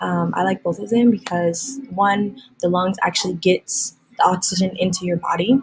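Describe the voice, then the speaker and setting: A quiet woman's voice with ordinary pitch variation. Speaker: science teacher. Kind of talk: recorded lesson. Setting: classroom.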